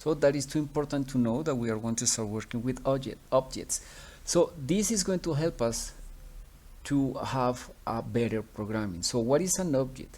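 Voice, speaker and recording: Spoken at a moderate pace with a Spanish accent, the voice is dark and mellow, with lively intonation. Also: man, medium pitch for a man. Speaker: teacher. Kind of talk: tutorial. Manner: halting, many fillers.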